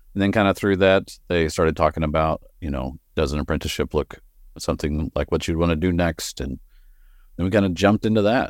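With a slight Texan accent, a man speaks in a very deep, low pitch. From West Texas. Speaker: bonsai grower and nursery owner. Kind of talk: casual interview.

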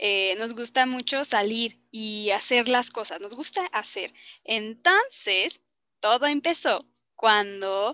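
Speaking at a very slow pace, a woman uses a fairly high voice with a bright, sharp tone. Her pitch varies in an ordinary way, and the sound is dry and close with no echo. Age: 20s. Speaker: podcast co-host, university student. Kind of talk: casual chat.

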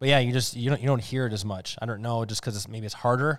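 A man's medium-pitched voice with an Upper Midwest accent and ordinary pitch variation, in a very clean recording with a silent background. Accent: Upper Midwest American. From Wisconsin (Waukesha, Oshkosh). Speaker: podcast co-host. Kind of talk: casual chat.

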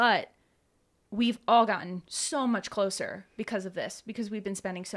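An ordinary speaking voice, this woman talks at a fairly quick pace with ordinary pitch variation. The recording is very clean, with a silent background. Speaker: tabletop game player. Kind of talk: casual chat. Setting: studio.

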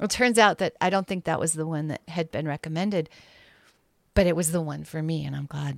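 A plain, everyday voice talks at a fairly quick pace with ordinary pitch variation. The sound is dry and close with no echo, on a very clean recording with a silent background. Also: woman, fairly low pitch for a woman. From Montana, US (Bozeman). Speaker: artist and sculptor. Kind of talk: casual interview chat.

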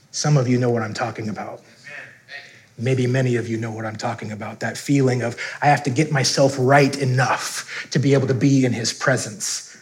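A man with an American accent, medium pitch and fairly even intonation at a fairly quick pace, amid audible room echo and noticeable background noise. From US Upper Midwest, North Dakota. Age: 30s. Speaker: pastor. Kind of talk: sermon.

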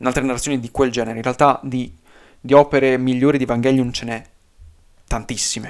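Very fast speech from a man, fairly even in intonation, on a very clean recording with a silent background. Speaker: YouTuber. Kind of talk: unscripted video essay. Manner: stream of consciousness, unedited; halting.

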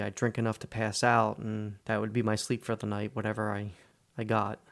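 In an ordinary speaking voice, a man with an American accent talks at a moderate pace and medium pitch. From New Jersey. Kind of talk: scripted narration.

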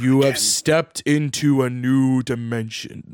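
Booming put-on character voice from a man, medium in pitch. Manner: ominous, commanding.

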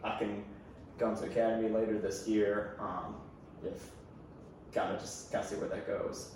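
A man with an American accent, long and frequent pauses, and noticeable background noise. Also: moderate pace. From US, Baltimore. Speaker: podcast guest. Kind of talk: casual chat.

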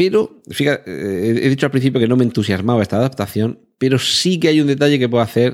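A man with a plain, everyday voice at a medium pitch, lively intonation, very even loudness, a fairly quick pace and hardly any pauses, in a very clean recording with a silent background. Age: 40s. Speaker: podcast host. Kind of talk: solo podcast monologue.

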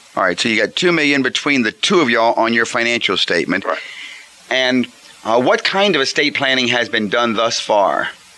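Speaking with a Southern US accent, a man uses a medium pitch and lively intonation at a fairly quick pace, his loudness very even. Noticeable background noise runs underneath. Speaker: financial planner radio host. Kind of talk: radio call-in advice show. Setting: radio studio with phone callers.

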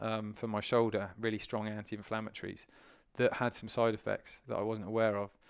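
On a very clean recording with a silent background, a man with a British accent speaks at a fairly quick pace. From UK. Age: 30s. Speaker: endurance swimmer and eco campaigner. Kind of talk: casual interview chat.

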